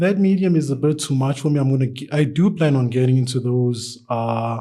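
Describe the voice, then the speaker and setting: With a dark, mellow tone, a man talks at a fairly quick pace using ordinary pitch variation. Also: medium pitch for a man, very even loudness. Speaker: artist. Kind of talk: casual interview. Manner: halting, many fillers; stutters at times.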